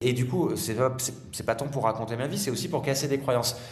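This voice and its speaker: An energetic man at medium pitch, amid audible room echo and noticeable background noise. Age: 40s. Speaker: father and speaker on fathers' mental health. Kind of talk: podcast interview. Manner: fast.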